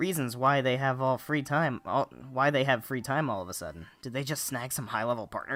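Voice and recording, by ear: The intonation stays fairly even as someone is reading aloud in a natural voice.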